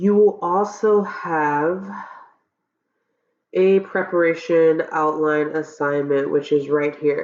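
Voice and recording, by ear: The pace is slow, with a slightly mellow tone and fairly even intonation. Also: woman, low pitch for a woman.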